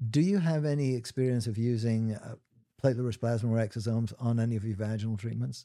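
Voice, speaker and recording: Fairly quick speech from a man, medium in pitch, dark and mellow in tone, with fairly even intonation on a very clean recording with a silent background. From Trinidad. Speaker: gynecologist podcast host. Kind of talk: interview.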